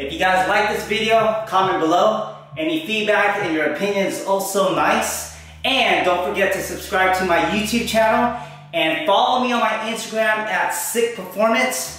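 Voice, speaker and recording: Amid strong room echo, a man talks at a moderate pace with a high pitch and ordinary pitch variation. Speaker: fitness coach. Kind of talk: casual vlog outro. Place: home room. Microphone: camera far.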